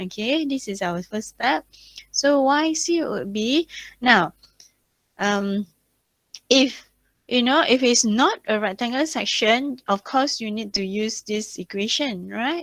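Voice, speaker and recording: Recorded dry and close with no echo, a woman speaks very slowly with long, frequent pauses. Her fairly high voice has lively intonation. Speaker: university lecturer. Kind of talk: online lecture.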